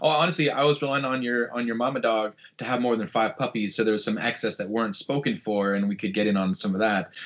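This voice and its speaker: An American-accented man talks at a very fast pace and medium pitch, with ordinary pitch variation and hardly any pauses. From US Pacific Northwest, Portland. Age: 30s. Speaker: sports podcast host. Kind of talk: casual chat. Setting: video call.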